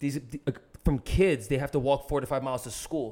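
Heard on a very clean recording with a silent background, a man with an American accent and an unremarkable speaking voice talks fairly quickly at a fairly high pitch. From US, New Jersey. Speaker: ultra-endurance runner. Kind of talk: casual chat. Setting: in person.

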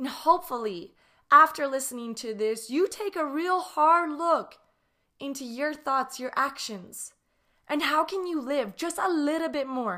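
This raised, projected voice has a bright, sharp tone and lively intonation at a fairly slow pace. The recording is very clean, with a silent background. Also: woman, high pitch for a woman. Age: 30s. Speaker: podcast host. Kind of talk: solo reflective monologue.

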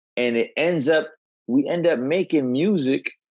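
Against a quiet background, a man with a New York accent speaks at a fairly slow pace with lively intonation. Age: 40s. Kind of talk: casual interview chat.

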